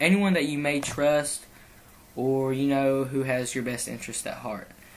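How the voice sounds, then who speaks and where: The man's voice is medium in pitch. Audible echo fills the room around him. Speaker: video series host. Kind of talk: heartfelt anti-bullying message to viewers. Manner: halting, stumbling over words.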